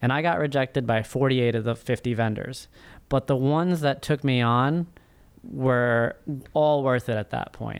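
A man speaks at a moderate pace with medium pitch. He has an ordinary speaking voice with ordinary pitch variation. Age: 30s. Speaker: first-time author and finance professional. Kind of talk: interview.

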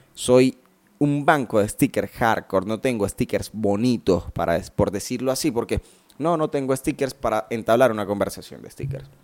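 A man with a medium pitch and an animated tone, recorded in a dry, close sound with no echo. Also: ordinary pitch variation, moderate pace. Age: 20s. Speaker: podcaster. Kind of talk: casual monologue.

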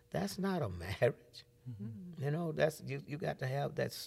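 The man's voice is fairly high and somewhat breathy. His pitch swings very widely. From Alabama. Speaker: pastor. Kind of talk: testimony.

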